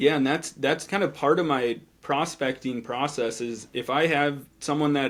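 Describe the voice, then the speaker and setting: A man with a fairly high pitch speaks in an ordinary speaking voice at a moderate pace. His intonation is fairly even, with hardly any pauses. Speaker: financial advisor. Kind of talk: podcast interview.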